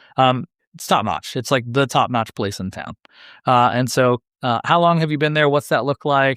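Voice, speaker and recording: Over a quiet background, a man speaks very fast with ordinary pitch variation, the sound dry and close with no echo. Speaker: podcast host. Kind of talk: interview. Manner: animated.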